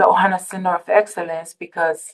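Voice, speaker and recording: This woman speaks in a Tongan accent at a moderate pace. Her medium-pitched delivery is monotone and flat. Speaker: public health program specialist. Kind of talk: conference presentation. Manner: halting, many fillers.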